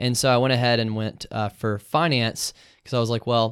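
At a fairly quick pace, a man speaks in an unremarkable speaking voice of medium pitch with fairly even intonation, on a very clean recording with a silent background. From US South. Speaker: law student. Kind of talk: casual interview.

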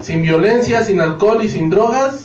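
Intonation is lively as a man speaks at a moderate pace. Music plays in the background, and room echo is audible. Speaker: dance organization member. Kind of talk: casual chat.

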